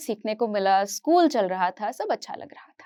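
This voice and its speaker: The recording is very clean with a silent background as a woman talks. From Kashmir, raised partly in Hyderabad from age 8. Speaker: psychology teacher. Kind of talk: motivational talk.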